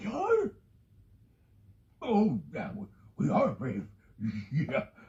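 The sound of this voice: A man puts on a cartoonish character voice with fairly high pitch, very wide pitch swings, a slightly mellow tone and a very slow pace.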